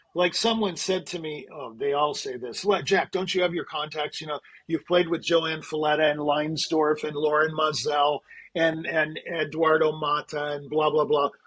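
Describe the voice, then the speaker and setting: A man at a moderate pace, fairly high in pitch, with ordinary pitch variation and a plain, everyday voice. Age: 60s. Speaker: concert pianist and music manager. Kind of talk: interview conversation.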